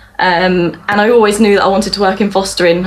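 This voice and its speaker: Talking at a fairly quick pace, a woman keeps a medium pitch and fairly even intonation over noticeable background noise. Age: 20s. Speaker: social worker. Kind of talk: interview.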